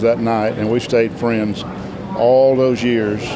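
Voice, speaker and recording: With a Southern US accent, a man speaks fairly slowly at medium pitch with fairly even intonation. Audible room echo and noticeable background noise fill the recording. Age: 60s. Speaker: gospel quartet singer. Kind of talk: interview.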